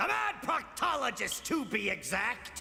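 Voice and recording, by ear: Doing a cartoonish character voice, a man talks at a moderate pace, with a clear echo and light background noise.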